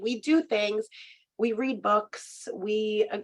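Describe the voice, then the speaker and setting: A woman speaking with ordinary pitch variation. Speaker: recreation program coordinator and coach. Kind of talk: conference presentation. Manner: hesitant with fillers.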